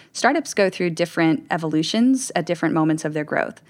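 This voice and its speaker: On a very clean recording with a silent background, a woman has an unremarkable speaking voice, fairly low in pitch, with lively intonation. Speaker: experience strategy director. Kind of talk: roundtable discussion.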